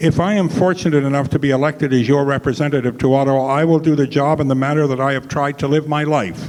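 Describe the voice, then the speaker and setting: This man talks at a very fast pace with hardly any pauses. His pitch is fairly high, and there is noticeable background noise. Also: fairly even intonation. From Canada, Ontario (moved from Montreal 50 years ago). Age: 70s. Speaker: political candidate. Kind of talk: political debate statement.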